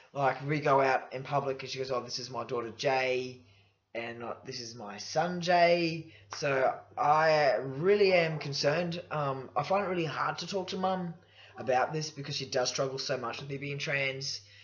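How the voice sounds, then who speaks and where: Speaking at a moderate pace with an Australian accent, a man with a fairly high pitch shows ordinary pitch variation and big swings in loudness over noticeable background noise. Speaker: vlogger. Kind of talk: personal vlog. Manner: casual, halting with fillers.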